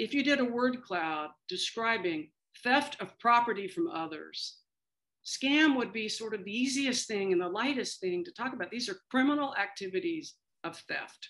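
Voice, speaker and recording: With an American accent, a woman talks at a moderate pace, her high pitch swinging very widely and her loudness shifting a lot. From Kansas, US Midwest. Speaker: aging policy expert, former government official. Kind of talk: interview.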